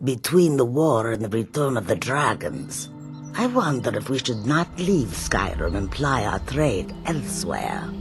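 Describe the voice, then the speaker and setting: Using a put-on character voice at a medium pitch, a man speaks at a moderate pace with clear music in the background. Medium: machinima. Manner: formal, third-person speech.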